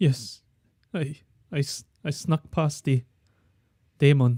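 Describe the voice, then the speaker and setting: Someone puts on a shaky character voice, low-to-middle in pitch, at a fairly slow pace. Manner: stammering, nervous.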